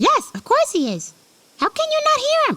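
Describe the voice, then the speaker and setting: This is a squeaky, put-on character voice. It moves at a moderate pace. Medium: audio drama.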